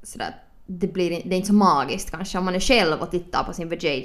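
A woman talks at a fairly quick pace in a fairly low voice. Vocal fry runs through her speech. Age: 20s. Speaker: podcast host. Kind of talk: casual chat. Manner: animated.

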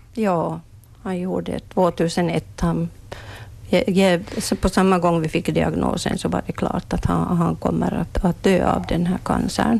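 The background carries noticeable noise. A woman's speech proceeds at a fairly slow pace. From Ostrobothnia, Finland (Swedish-speaking). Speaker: retiring palliative care nurse. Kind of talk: interview. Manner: halting, repeats words.

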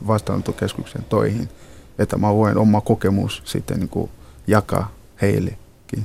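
Speaking with a non-native accent, a man uses a fairly low pitch and a monotone, flat intonation at a fairly slow pace. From Ghana. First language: not Finnish (speaking Finnish). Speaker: nurse and reception centre counselor. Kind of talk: interview. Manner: halting.

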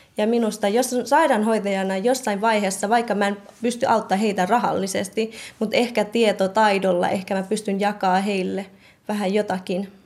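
With a Myanmar accent, a woman talks at a moderate pace with fairly even intonation. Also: medium pitch for a woman. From Thai-Myanmar border refugee camp (Karen). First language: Karen (speaking Finnish). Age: 20s. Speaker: nursing student. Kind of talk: interview. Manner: halting.

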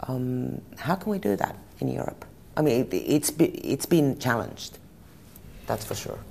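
A woman speaks with a Finnish accent at a moderate pace. She leaves long, frequent pauses. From Finland. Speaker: journalist. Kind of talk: interview.

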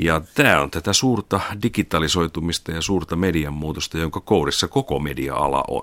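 The pace here is moderate. A man talks with a very deep, low pitch. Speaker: media executive. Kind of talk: interview.

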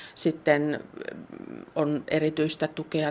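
A woman speaks with a very deep, low pitch. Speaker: head teacher. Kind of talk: interview.

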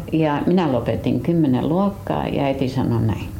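A woman speaks at a fairly slow pace with very wide pitch swings, with audible room echo and noticeable background noise. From US, Detroit (Finnish-American). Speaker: folk artist. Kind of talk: life story interview. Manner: halting.

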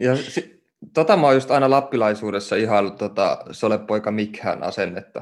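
This man has a medium-pitched voice, ordinary pitch variation and a moderate pace. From Oulu, northern Finland. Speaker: podcast host, writer. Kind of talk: interview conversation. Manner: hesitant, many fillers.

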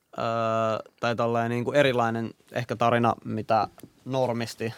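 This man has an ordinary speaking voice, medium in pitch and delivered at a moderate pace. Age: 20s. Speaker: podcast host. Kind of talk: casual chat.

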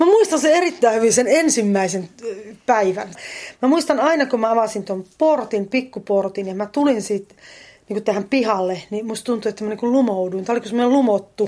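A woman's dark, mellow voice moves at a moderate pace with lively intonation. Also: fairly high pitch for a woman, very clean recording, silent background. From eastern Finland. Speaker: drama instructor and poet. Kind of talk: casual interview. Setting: at home, partly outdoors in garden.

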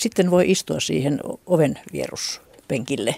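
A woman speaks with lively intonation and vocal fry. The sound is dry and close, with no echo. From Finland, Satakunta. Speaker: retired regional researcher, ethnologist. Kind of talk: radio panel discussion. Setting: studio.

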